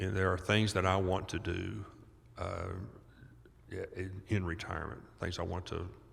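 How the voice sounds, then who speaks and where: With a very deep, low pitch, a man speaks in a somewhat breathy, monotone, flat way amid audible room echo. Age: 70s. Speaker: doctor and author on childhood trauma. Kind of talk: podcast interview. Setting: live at a conference.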